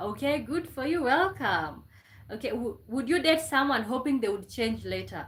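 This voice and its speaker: In a room with audible echo, a woman with a Kenyan accent and a fairly high voice speaks at a moderate pace, showing vocal fry and very wide pitch swings. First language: Kenyan mother tongue / Swahili. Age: 20s. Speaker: live streamer. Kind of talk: casual live stream chat.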